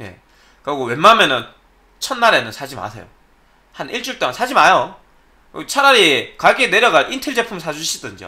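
A man speaks in a raised, projected voice with a high pitch and a bright, sharp tone. His pace is fairly quick, broken by long, frequent pauses, with very wide pitch swings and big swings in loudness. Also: quiet background. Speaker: PC hardware YouTuber; tech commentator. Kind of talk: solo commentary video. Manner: careful articulation. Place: home room.

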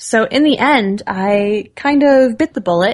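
A woman's voice at a very slow pace with very wide pitch swings, quiet background. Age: 20s. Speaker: voice actor. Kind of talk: interview answer. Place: home room. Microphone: studio mic.

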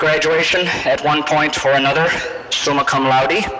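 Noticeable noise sits behind the voice. The delivery is moderately paced. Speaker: professor introducing a guest speaker. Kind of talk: formal speaker introduction. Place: hall.

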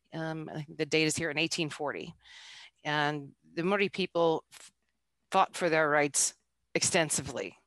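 In an American accent, the speech comes at a fairly slow pace with monotone, flat intonation and long, frequent pauses. The sound is dry with no echo, over a quiet background. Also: woman, very deep, low pitch for a woman. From United States. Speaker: intercultural business coach. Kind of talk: presentation. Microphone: headset.

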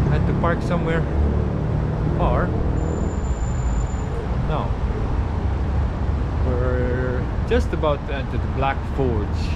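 Loud background noise surrounds a man's voice. He talks at a very slow pace, with long, frequent pauses. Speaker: travel vlogger. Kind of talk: casual vlog chat. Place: street. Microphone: phone near.

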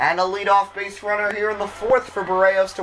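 The pace is fairly quick. Noticeable background noise is present. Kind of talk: live sports commentary, play-by-play of a simulated baseball game.

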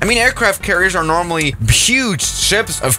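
With faint music in the background, the man keeps a moderate pace. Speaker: gaming video creator. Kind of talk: commentary.

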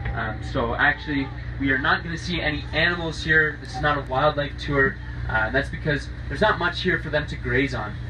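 A man at a fairly quick pace, with noticeable background noise. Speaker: boat tour guide. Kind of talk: guided tour commentary.

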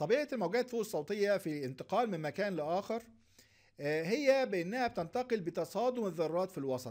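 A man talks at a fairly quick pace. His voice is high-pitched with lively intonation. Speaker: lecturer. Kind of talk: lecture.

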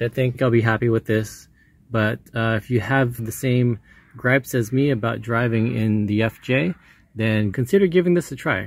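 A man's voice comes across somewhat breathy at a moderate pace. The sound is dry with no echo. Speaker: car owner reviewing an accessory. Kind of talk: casual product review vlog. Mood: relaxed, satisfied. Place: car. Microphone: phone near.

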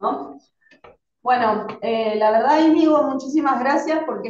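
In an Argentine accent, a woman speaks in a high voice at a fairly slow pace, with ordinary pitch variation, audible room echo and light background noise. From Argentina. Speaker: teacher. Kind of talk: casual chat. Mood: grateful, warm. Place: classroom. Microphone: camera far.

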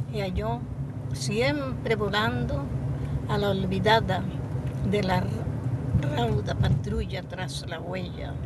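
A woman talks at a very slow pace with loud background noise, the sound dry with no echo. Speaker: grandmotherly poetry reciter. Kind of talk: poetry reading. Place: car.

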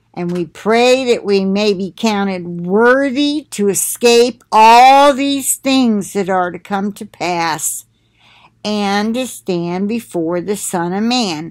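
A woman talks at a very slow pace with ordinary pitch variation. The background is quiet. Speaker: religious vlogger. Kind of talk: casual spiritual talk to viewers. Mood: earnest, preaching. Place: home room. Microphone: webcam.

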